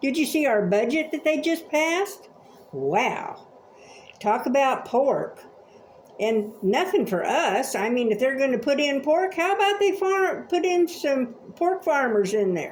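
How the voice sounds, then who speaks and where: Against noticeable background noise, a woman speaks at a fairly slow pace in a high voice with very wide pitch swings. Her loudness stays very even. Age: 70s. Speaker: vlogger. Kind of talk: opinion rant. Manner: animated.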